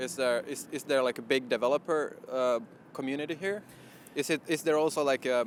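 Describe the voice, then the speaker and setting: A man with a Finnish accent talks at a fairly quick pace in a fairly high voice with ordinary pitch variation. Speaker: company vlog host. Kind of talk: interview.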